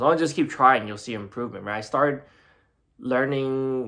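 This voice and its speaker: A man's voice with fairly even intonation over music in the background. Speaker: beginner guitar learner. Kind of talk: casual talk to camera. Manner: hesitant, rambling.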